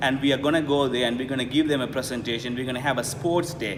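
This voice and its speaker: A man at medium pitch speaks with ordinary pitch variation over noticeable background noise. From Sri Lanka (Jaffna). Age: 30s. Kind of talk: interview answer.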